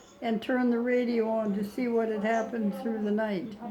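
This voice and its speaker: Someone with a Canadian accent speaks at a moderate pace in a monotone, flat intonation. Audible room echo and noticeable background noise are present. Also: woman. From Canada. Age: 80s+. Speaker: elderly mother. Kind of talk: casual interview. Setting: care home visit.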